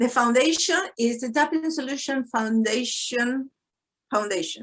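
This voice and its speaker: The speaker talks at a fairly slow pace with ordinary pitch variation, in a Spanish accent. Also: woman, high pitch for a woman. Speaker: psychologist and tapping instructor. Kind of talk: webinar Q&A.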